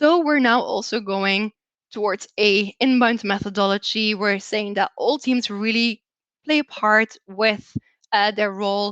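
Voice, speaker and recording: With a Belgian accent, a woman talks at a fairly slow pace in a fairly high pitch with ordinary pitch variation, the sound dry and close with no echo. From Belgium. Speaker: customer success manager. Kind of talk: presentation.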